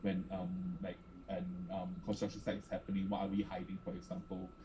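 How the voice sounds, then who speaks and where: At a very fast pace, a man speaks in a somewhat breathy voice with a dark, mellow tone and ordinary pitch variation. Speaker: art space director. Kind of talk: panel presentation.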